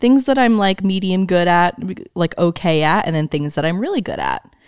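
This woman has a normal speaking voice with a medium pitch and lively intonation. She talks at a moderate pace. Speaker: podcast co-host, graphic designer. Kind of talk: casual chat.

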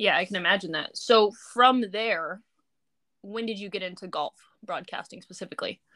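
A woman with an American accent speaks at a moderate pace in a bright, sharp tone and medium pitch, with ordinary pitch variation and long, frequent pauses, on a very clean recording with a silent background. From California. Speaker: podcast host. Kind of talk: interview.

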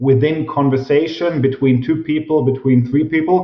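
A man with a German accent and a fairly high pitch. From Germany. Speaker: professor of organizational psychology. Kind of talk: interview.

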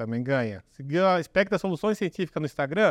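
A man moves at a fairly quick pace with very wide pitch swings, his dry, close sound carrying no echo over a quiet background. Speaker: podcast producer. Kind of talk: casual chat.

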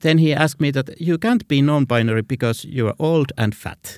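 In a Finnish accent, a man talks at a fairly quick pace with a fairly high pitch and lively intonation, the sound dry and close with no echo. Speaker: visual artist. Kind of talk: interview. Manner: halting.

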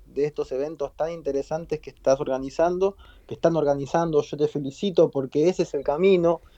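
The sound is dry and close, lacking any echo. A man talks in a dark, mellow tone with fairly even intonation. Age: 40s. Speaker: media entrepreneur. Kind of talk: interview.

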